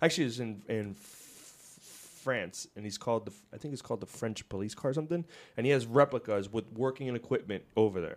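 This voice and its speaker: In a very clean recording with a silent background, a man of medium pitch talks at a very fast pace with ordinary pitch variation and long, frequent pauses. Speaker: podcast host. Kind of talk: casual podcast chat. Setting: office studio. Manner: joking, talkative.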